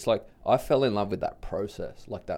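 With an Australian accent, a man delivers his words at a moderate pace. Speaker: big wave surfer and public speaker. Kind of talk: casual interview conversation. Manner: casual, laid-back.

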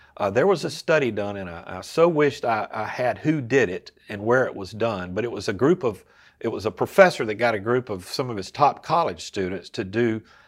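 On a very clean recording with a silent background, a man in a plain, everyday voice talks at a medium pitch, with lively intonation and a fairly quick pace. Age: 60s. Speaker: lay preacher and filmmaker. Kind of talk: casual interview about faith.

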